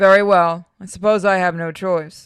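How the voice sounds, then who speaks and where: A man's put-on character voice, high in pitch, at a moderate pace with monotone, flat intonation. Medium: read story.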